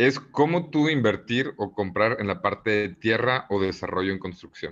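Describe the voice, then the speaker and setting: A man's normal speaking voice, fairly low in pitch, at a moderate pace over a quiet background. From Mexico, Monterrey. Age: 20s. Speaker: real estate entrepreneur. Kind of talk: interview.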